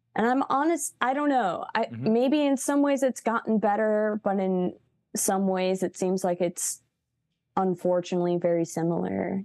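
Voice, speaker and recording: With an unremarkable speaking voice, a woman speaks at a moderate pace in a medium pitch, using lively intonation and very even loudness. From US Midwest, Chicago. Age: 30s. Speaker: musician. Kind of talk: casual interview.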